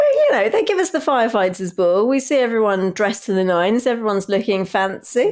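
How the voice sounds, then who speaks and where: A woman with an English accent talks at a very fast pace, with hardly any pauses and very even loudness. Her pitch is fairly high and her intonation lively. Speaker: podcast co-host. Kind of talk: casual chat.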